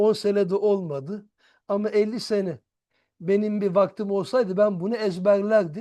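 Slow-ish and high-pitched, a man talks with a dark, mellow tone at a fairly slow pace. The background is quiet. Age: 50s. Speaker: Arabic and religion teacher. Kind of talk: religious lecture.

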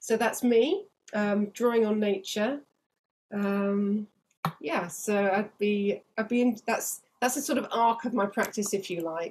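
A somewhat breathy woman's voice of fairly high pitch, with ordinary pitch variation and light background noise. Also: fairly slow pace. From England. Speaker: land artist and local councillor. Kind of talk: presentation. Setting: video call.

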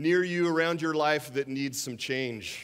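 A man's fairly high-pitched voice at a moderate pace against a quiet background. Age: 50s. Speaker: guest preacher. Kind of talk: sermon. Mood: warm, humorous storytelling. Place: church. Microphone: headset.

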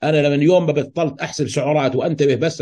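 His tone dark and mellow, a man speaks at a fairly high pitch in a somewhat breathy voice. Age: 50s. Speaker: health educator. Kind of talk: educational talk. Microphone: video call.

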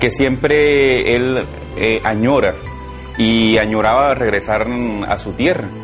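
Over clear background music, a man talks at a very slow pace with fairly even intonation and long, frequent pauses. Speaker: son of the man searching for family. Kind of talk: interview answer. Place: home room.

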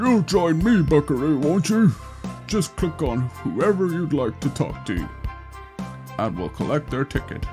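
A man puts on a character voice with a fairly high pitch at a moderate pace. Long, frequent pauses break up his speech over clear music in the background. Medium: game stream. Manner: jovial, chuckling.

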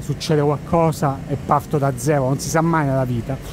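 Speaking at a fairly quick pace with fairly even intonation, a man is heard in a dry sound with no echo over light background noise. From Italy. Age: 40s. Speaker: travel content creator and tour operator; travel vlogger. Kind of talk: casual walking monologue vlog. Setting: outdoors, walking at night in Times Square. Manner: conversational, rambling. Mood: relaxed, reflective. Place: street. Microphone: phone near.

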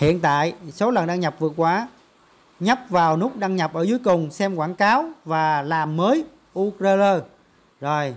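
A man talks at a moderate pace in a fairly high voice with lively intonation.

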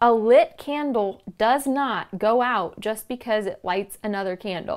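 Against a quiet background, the speech moves at a very slow pace with very wide pitch swings. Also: woman. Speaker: podcast host. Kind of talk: inspirational talk. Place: home room. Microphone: lapel.

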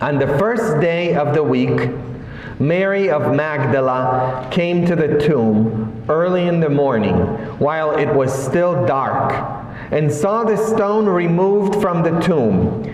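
Light background noise and audible room echo accompany a man who speaks at a very slow pace with lively intonation. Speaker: priest. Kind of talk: sermon. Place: church. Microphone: camera far.

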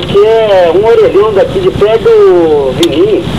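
The delivery comes at a fairly slow pace. Noticeable background noise is present. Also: man. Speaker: prank call recipient. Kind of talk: informal, rural slang. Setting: phone, payphone. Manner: often asks to repeat. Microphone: phone line.

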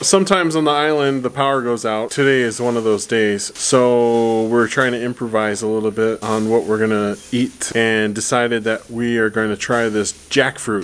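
Hardly any pauses break up this man's moderate pace. His pitch varies in an ordinary way. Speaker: family vlogger. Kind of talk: casual vlog chat. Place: garden. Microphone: phone near.

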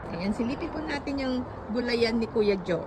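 A woman speaks with a fairly high pitch and ordinary pitch variation. Background noise is noticeable. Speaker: vlogger showing garden. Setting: outdoors in a garden.

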